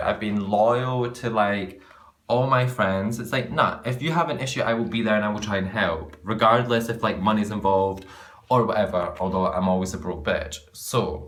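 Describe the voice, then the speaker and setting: A man with a Scottish accent speaks at a medium pitch and moderate pace in an animated tone, with audible room echo. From Scotland. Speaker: vlogger. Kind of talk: casual rant to camera.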